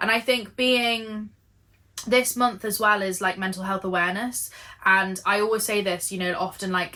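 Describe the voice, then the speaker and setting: A woman with an English accent, bright and sharp in tone, at a moderate pace with ordinary pitch variation. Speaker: knitting and lifestyle vlogger. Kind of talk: casual chat.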